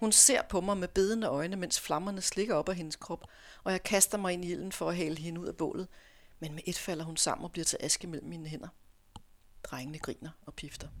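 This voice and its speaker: A woman with an ordinary speaking voice, fairly low pitch and ordinary pitch variation at a fairly quick pace, on a very clean recording with a silent background. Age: 50s. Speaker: author. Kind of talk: reading aloud; casual interview chat. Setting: radio studio.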